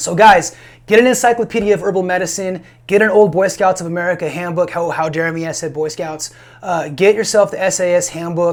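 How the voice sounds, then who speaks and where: A mumbling man with a high pitch, fairly even intonation and a fairly quick pace. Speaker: safety and firearms trainer, prepping channel host. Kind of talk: solo video monologue, advice talk. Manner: mumbling, stuttering; casual, repetitive with fillers.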